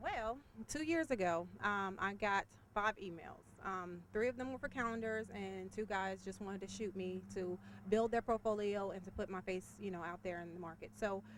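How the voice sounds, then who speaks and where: In an ordinary speaking voice, the speaker talks at a moderate pace with ordinary pitch variation. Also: woman, medium pitch for a woman. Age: 30s. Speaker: model. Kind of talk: interview.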